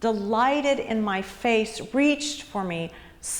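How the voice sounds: The clip features a natural reading voice.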